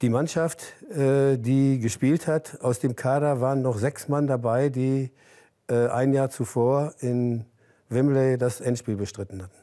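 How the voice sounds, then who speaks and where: A man speaks at a very slow pace with fairly even intonation. His tone is dark and mellow, and the background is quiet. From Germany. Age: 80s+. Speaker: former footballer; interview guest. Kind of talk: interview. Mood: relaxed, reminiscing, smiling. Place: home room. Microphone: lapel.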